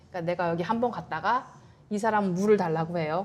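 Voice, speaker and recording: A woman races through her speech at a very fast pace, her medium pitch varying in an ordinary way. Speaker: Korean immigrant interviewee. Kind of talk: interview.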